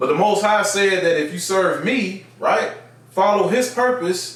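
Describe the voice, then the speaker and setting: The recording of this man has audible room echo and noticeable background noise. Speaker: bible teacher, religious video host. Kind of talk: bible teaching monologue. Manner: conversational with frequent fillers.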